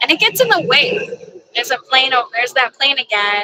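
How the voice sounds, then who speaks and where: At a moderate pace, a woman speaks in a raised, projected voice, high in pitch and swinging very widely. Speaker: tarot reader and livestreamer. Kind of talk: casual livestream chat. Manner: sometimes garbled words.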